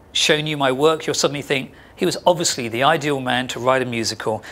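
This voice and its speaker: Speaking with an English accent, this man's voice sits fairly high in pitch. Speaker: sound artist. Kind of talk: artist talk to an audience. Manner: fast; animated.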